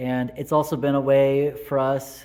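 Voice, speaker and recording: A man's fairly high voice with an American accent and fairly even intonation, music in the background. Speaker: Lutheran pastor. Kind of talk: devotional talk to camera.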